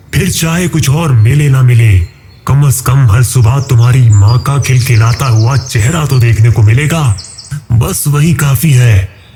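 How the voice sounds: This man uses a put-on character voice at a medium pitch.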